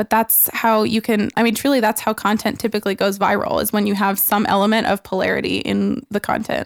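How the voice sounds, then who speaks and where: Fairly high in pitch, a woman talks at a fairly quick pace with hardly any pauses and very even loudness. Her intonation is monotone and flat, with vocal fry. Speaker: real estate agent and social media speaker. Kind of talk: casual podcast interview. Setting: studio.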